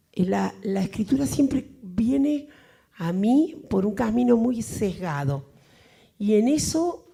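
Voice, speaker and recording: A woman talks very slowly at a fairly high pitch, her pitch swinging very widely. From Argentina. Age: 60s. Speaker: writer. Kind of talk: Q&A after a lecture. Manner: hesitant, many fillers.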